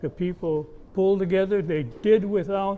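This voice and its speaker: With an American accent, a man speaks at a high pitch and a moderate pace. His tone is dark and mellow, with ordinary pitch variation. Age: 80s+. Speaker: war veteran. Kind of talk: interview.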